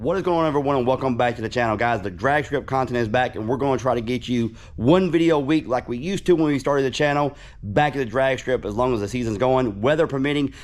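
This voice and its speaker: Very fast in pace, a man of medium pitch speaks with ordinary pitch variation. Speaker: car YouTuber. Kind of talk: car build rundown.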